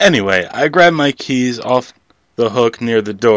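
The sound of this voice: Quiet background, ordinary pitch variation, and an unforced reading voice.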